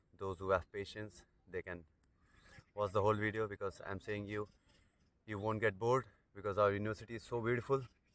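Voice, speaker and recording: Very fast and monotone, the flat-intoned speech comes through dry with no echo. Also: man. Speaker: international student vlogger. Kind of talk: casual vlog chat. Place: open country. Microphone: earbuds.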